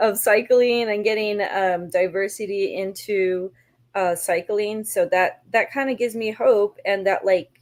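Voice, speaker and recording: Here is a woman with an unremarkable speaking voice at a medium pitch. She talks at a fairly slow pace with fairly even intonation. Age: 40s. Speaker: cyclist and community organizer. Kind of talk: panel discussion.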